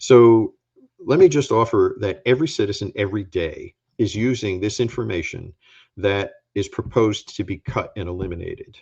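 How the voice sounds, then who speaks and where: The setting behind the speaker is quiet. A man talks at a moderate pace. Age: 60s. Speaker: former agency administrator and scientist. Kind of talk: talk with slides. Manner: emphatic.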